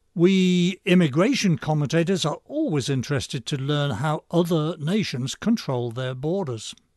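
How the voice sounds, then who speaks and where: A man with an English accent speaks at a fairly high pitch, using lively intonation and hardly any pauses. The sound is dry and close with no echo, and the background is quiet. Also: moderate pace. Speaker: radio commentary host. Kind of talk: scripted monologue commentary. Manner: sardonic, dry.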